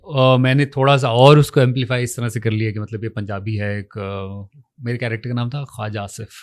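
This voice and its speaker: A man at medium pitch with an ordinary speaking voice, ordinary pitch variation, a moderate pace and big swings in loudness, on a very clean recording with a silent background. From Punjab, Pakistan. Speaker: actor. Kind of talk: interview.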